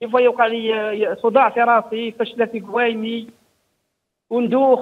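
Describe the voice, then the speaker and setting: Against a quiet background, a man with an Algerian accent talks in a monotone, flat intonation at an extremely high pitch. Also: moderate pace. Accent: rural Algerian Arabic, Djelfa. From Algeria, Djelfa. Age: 60s. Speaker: caller. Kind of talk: call-in question. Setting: phone call. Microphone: phone line.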